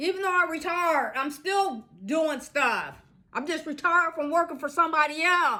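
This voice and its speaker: A woman's raised, projected voice in an American accent, high in pitch and bright and sharp in tone, with ordinary pitch variation at a moderate pace. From Iowa, US Midwest. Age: 60s. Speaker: social skills vlogger. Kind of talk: casual monologue. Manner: halting, with repetitions.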